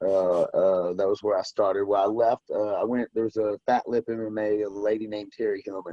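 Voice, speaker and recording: A man talks at a fairly quick pace with a slight Southern US accent. He takes hardly any pauses. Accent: slight southern country twang. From US South, western Tennessee near Memphis. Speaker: bare knuckle fighter. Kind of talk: casual interview chat.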